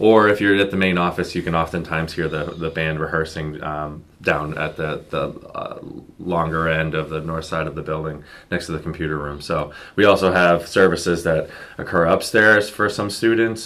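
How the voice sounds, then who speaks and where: A man with a very deep, low pitch and a bright, sharp tone speaks at a moderate pace. His intonation is fairly even. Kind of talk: interview answer. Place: meeting room. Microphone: camera far.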